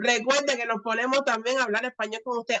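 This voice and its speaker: A woman speaks very fast in a high voice, with a dry, close sound and no echo. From Cuba. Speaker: channel host, student. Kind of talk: interview.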